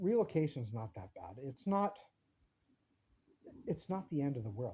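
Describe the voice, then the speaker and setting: With a fairly high pitch, very wide pitch swings and big swings in loudness, a man speaks at a moderate pace in a somewhat breathy voice. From small-town British Columbia, Canada. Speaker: vlogger. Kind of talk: casual opinion vlog. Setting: home workshop. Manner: animated; halting, stumbling over words.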